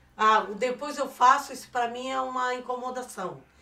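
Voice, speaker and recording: A woman talks at a moderate pace with a high pitch. Her tone is bright and sharp, and her intonation is fairly even. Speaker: podcast co-host, mother of the hosts. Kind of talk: casual chat.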